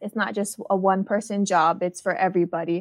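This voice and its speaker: A woman with a Hawaiian accent speaks at a moderate pace and medium pitch with fairly even intonation, the sound dry and close with no echo over a quiet background. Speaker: marine outreach coordinator. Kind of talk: interview.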